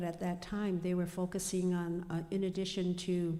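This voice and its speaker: A woman's medium-pitched voice with an American accent, dark and mellow in tone, in a monotone, flat intonation. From US Midwest, Pine Ridge, South Dakota. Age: 70s. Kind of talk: panel discussion. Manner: halting, many fillers.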